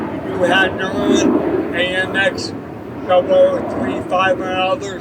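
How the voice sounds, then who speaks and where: A man's high-pitched voice at a very slow pace with lively intonation, audible room echo and noticeable background noise. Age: 60s. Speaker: ALS patient advocate. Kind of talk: public speech. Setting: outdoor rally.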